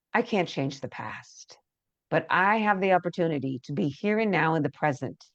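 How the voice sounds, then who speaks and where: A woman's fairly low voice with lively intonation, in a dry, close sound with no echo and a quiet background. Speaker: empowerment coach leading EFT tapping. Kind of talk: guided tapping meditation. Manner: slow, soothing with audible breaths; loud.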